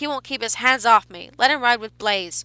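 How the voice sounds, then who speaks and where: Shouting and growling in a put-on character voice, a woman speaks at a moderate pace and a fairly high pitch with ordinary pitch variation and big swings in loudness, the sound dry and close with no echo. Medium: read story. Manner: shouting, indignant.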